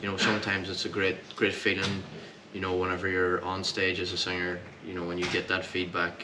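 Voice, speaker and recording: Amid noticeable background noise and audible room echo, a man speaks in a monotone, flat way at a very deep, low pitch. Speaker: country singer. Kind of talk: casual interview. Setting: hotel after a gig.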